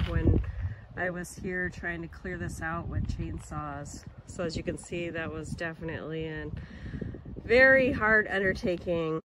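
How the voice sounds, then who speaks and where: Recorded with a dry sound and no echo but noticeable background noise, a woman in an American accent speaks at a fairly slow pace in a fairly low pitch. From Montana. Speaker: career counseling organization director. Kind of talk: vlog narration. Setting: outdoors. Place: open country. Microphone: phone near.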